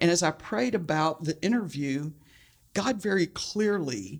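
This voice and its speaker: With an American accent and a plain, everyday voice, the speaker uses lively intonation at a fairly slow pace in a very clean recording with a silent background. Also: woman. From Texas, Houston. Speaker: church outreach director. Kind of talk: interview.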